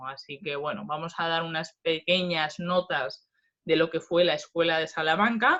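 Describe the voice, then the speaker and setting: A woman talks at a fairly low pitch. She keeps a fairly slow pace. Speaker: philosophy professor. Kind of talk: lecture.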